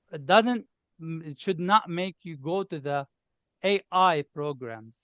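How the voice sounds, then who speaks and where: A man with a Lebanese accent speaks in a high pitch with lively intonation. The sound is dry and close, with no echo, over a quiet background. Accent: obvious Lebanese. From Lebanon. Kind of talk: interview. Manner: animated.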